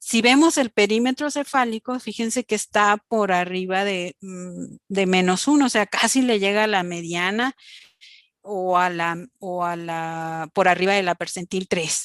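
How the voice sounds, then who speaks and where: A woman with an unremarkable speaking voice talks fairly slowly at medium pitch, with ordinary pitch variation. The sound is dry and close with no echo, and the background is quiet. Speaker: pediatric doctor lecturer. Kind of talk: lecture.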